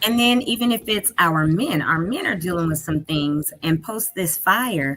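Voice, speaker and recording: A woman with a plain, everyday voice, at a fairly slow pace and with lively intonation. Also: fairly low pitch for a woman. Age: 60s. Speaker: talk show co-host. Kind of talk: interview.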